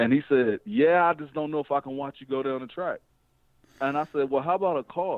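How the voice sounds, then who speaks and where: A man with an American accent, fairly high-pitched, at a fairly quick pace with ordinary pitch variation. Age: young. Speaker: drag racer and race promoter. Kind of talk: interview. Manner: casual.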